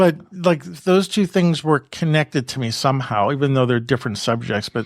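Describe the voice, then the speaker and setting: The man speaks at a moderate pace. His intonation is lively. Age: 60s. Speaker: photography podcast host. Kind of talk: casual chat. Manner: halting, with self-corrections.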